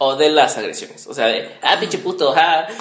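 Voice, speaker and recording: The pace is moderate. Audible room echo surrounds the voice. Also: man. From Mexico, Morelia (Michoacán). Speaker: podcast host, radio presenter. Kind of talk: casual chat. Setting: home recording.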